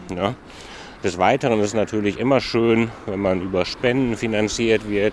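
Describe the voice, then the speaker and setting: A man speaks in a fairly low voice at a moderate pace. His pitch varies in an ordinary way, and there is noticeable background noise. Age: 40s. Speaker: youth employment project manager, trained hotel professional. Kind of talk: casual interview on a walk. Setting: outdoors walking through a city district.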